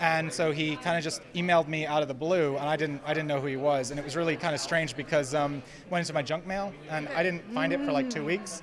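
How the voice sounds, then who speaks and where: Over noticeable background noise, a man with an American accent talks very fast at a fairly high pitch with ordinary pitch variation. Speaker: film director. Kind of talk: red carpet interview. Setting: red carpet at film festival.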